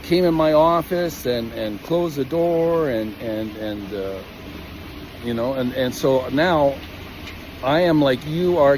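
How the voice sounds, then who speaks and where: Over noticeable background noise, a man speaks fairly slowly with lively intonation and a fairly high pitch. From Calgary, Canada. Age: 60s. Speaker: equipment operator. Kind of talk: personal testimony. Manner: halting, many fillers and repetitions.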